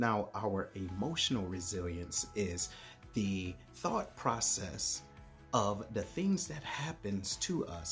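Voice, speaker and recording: Faint music plays behind a man speaking at a very slow pace. His pitch swings very widely. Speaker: motivational speaker, Air Force retiree and author. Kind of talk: motivational speech to camera. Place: home room. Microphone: phone near.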